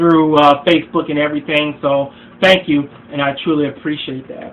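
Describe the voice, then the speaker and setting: At a moderate pace, a man speaks with a fairly high pitch. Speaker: relationship advice vlogger. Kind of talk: vlog monologue. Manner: halting, many fillers and repeats.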